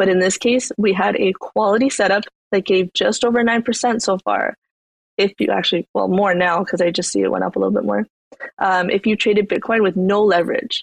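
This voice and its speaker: A woman's medium-pitched voice with vocal fry, fairly even intonation, very even loudness and a fairly quick pace, dry and close with no echo. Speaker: crypto market analyst host. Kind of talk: market analysis discussion.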